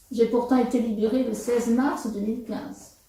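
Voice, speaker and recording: The woman's voice is high and her pace fairly slow. Room echo can be heard. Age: 70s. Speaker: interviewee with psychiatric experience. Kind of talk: testimony. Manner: formal.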